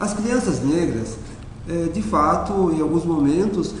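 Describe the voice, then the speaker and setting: High-pitched male speech with audible room echo and noticeable background noise. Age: 60s. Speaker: teacher and racial equality coordinator. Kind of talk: interview monologue. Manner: measured, with frequent fillers.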